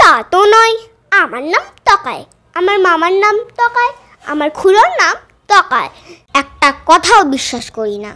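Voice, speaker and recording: This put-on character voice is pitched extremely high and delivered at a fairly slow pace. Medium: stage play. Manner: giggly, absurd.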